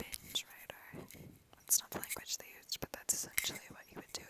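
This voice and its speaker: Someone whispers over noticeable background noise. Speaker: ASMR creator, literature student. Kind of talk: ASMR whispered reading and rambling. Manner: whispered, soft, rambling.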